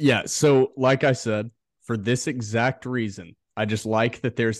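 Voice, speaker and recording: The speaker has a normal speaking voice with ordinary pitch variation at a moderate pace. The sound is dry and close with no echo, and the background is quiet. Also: man. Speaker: podcast co-host. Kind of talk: sports podcast banter.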